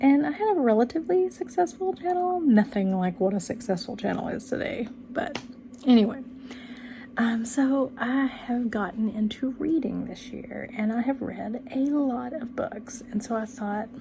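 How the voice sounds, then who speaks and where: A woman with a Texan accent speaks at a high pitch with lively intonation. There is noticeable background noise. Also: moderate pace. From Texas, rural area near Dallas. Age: 40s. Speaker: book channel vlogger. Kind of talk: casual vlog monologue. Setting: home bedroom. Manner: many ums and restarts.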